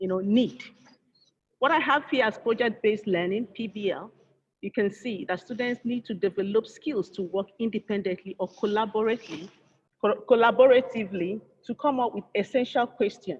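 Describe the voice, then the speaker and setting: An unremarkable speaking voice from a woman, fairly high in pitch, at a moderate pace with ordinary pitch variation. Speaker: engineer and conference speaker. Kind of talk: conference presentation. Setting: virtual conference.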